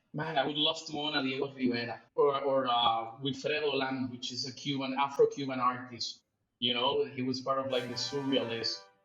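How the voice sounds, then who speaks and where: A medium-pitched man in a monotone, flat delivery at a moderate pace, with music in the background. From Mexico City and Puerto Rico. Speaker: 3D artist. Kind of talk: podcast interview. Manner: loud, jittery; halting, repeats words.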